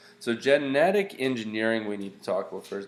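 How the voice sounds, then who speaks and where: Audible room echo around a man's fairly low voice. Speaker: science teacher. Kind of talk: lecture. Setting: screencast. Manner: casual, halting.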